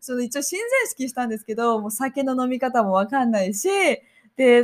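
Talking at a very fast pace, a woman uses a high pitch. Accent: Japanese. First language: Japanese. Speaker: podcast co-host. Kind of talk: casual bilingual chat.

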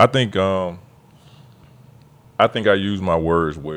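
Speaking at a slow pace, a man with a low pitch has a fairly bright tone and ordinary pitch variation.

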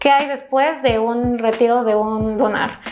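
A woman's high voice moves at a very slow pace with fairly even intonation. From Ecuador, Quito. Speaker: aesthetic medicine doctor. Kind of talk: interview.

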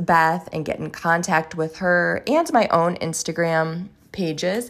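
An unremarkable speaking voice from a woman, fairly low in pitch, with fairly even intonation and a fairly slow pace, against a quiet background. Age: 40s. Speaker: podcast host. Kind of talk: casual chat; scripted narration.

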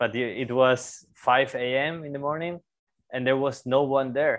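The speaker has a Spanish accent and a fairly slow pace. The intonation stays fairly even. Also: man. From Spain, Zaragoza. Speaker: podcast host, bike workshop owner. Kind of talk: casual interview.

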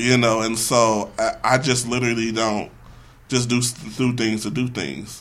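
A man's plain, everyday voice at a medium pitch, with fairly even intonation and a fairly slow pace. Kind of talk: casual chat. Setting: studio.

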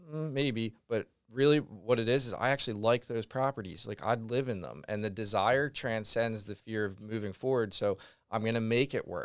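Over a silent background in a very clean recording, a man with an ordinary speaking voice talks at a fairly quick pace in an American accent, his medium pitch showing ordinary variation. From Pennsylvania, Philadelphia suburbs. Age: 30s. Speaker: real estate investor. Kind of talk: podcast interview. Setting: studio.

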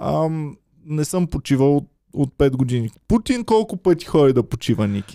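Fairly high-pitched male voice with very wide pitch swings and a dark, mellow tone, in a dry, close sound with no echo. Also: moderate pace. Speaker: comedian. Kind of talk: casual chat.

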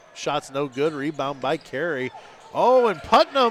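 A man with a plain, everyday voice speaks with lively intonation. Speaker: radio play-by-play announcer. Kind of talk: live sports commentary, rapid-fire play-by-play calling each pass, drive and shot. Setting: high school gym, radio broadcast.

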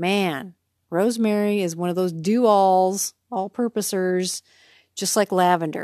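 The recording is very clean with a silent background and a dry, close sound with no echo, carrying a woman's dark, mellow tone at medium pitch. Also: fairly even intonation, fairly slow pace. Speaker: wellness podcaster. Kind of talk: casual monologue. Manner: unscripted, loose.

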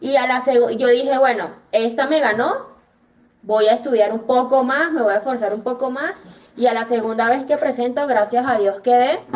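Her voice sits high for a woman. The pitch moves in an ordinary way. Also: moderate pace. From Venezuela. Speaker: dentist. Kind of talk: interview conversation.

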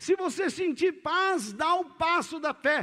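An extremely high-pitched man's raised, projected voice with a bright, sharp tone and ordinary pitch variation, on a very clean recording with a silent background. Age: 60s. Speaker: pastor. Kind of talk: sermon.

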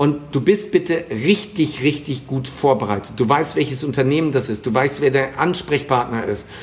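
Speaking fairly slowly, the somewhat breathy voice varies its pitch in an ordinary way. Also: man. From western Germany. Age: 50s. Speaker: sales trainer. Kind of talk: interview. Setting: remote call.

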